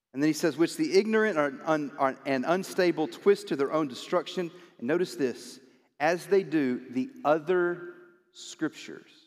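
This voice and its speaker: At a moderate pace, a man uses a normal speaking voice with a fairly high pitch and ordinary pitch variation. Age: 40s. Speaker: pastor. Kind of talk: sermon. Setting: church.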